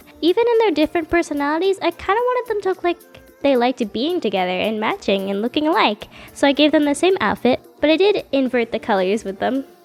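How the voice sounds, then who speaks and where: Fairly quick speech with very wide pitch swings over music in the background. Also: woman. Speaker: artist. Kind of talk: casual voice-over narration. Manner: casual, chatty.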